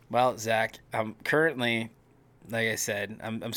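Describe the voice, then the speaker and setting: Using a raspy, put-on character voice, a man talks at a fairly slow pace at medium pitch with fairly even intonation. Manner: low energy.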